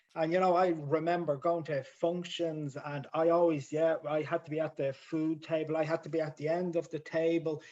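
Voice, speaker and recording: A man with a Dublin accent, at a moderate pace. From Ireland, Dublin inner city. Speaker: member sharing at support group. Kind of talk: support group share. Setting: video call.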